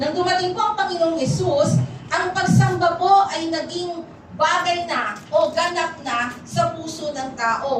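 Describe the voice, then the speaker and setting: A woman speaks at a very slow pace in a high voice. The room echoes audibly, with noticeable background noise. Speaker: pastor. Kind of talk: sermon.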